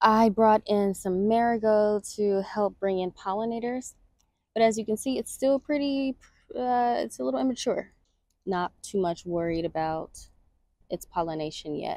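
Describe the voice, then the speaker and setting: In a normal speaking voice, a woman talks at a moderate pace with fairly high pitch and lively intonation, recorded with a dry, close sound and no echo. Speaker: gardening vlogger. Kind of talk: casual garden tour walkthrough. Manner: casual with frequent fillers.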